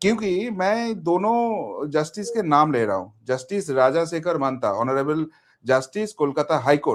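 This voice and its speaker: In a very clean recording with a silent background, a man with a non-native accent speaks in a high pitch with lively intonation. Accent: non-native Hindi. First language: Bengali (speaking Hindi). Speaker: political commentator. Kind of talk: interview.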